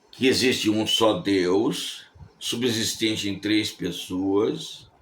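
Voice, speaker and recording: Vocal fry marks this man's voice, heard with audible room echo. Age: 70s. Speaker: preacher. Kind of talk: sermon. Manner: conversational, repeats words.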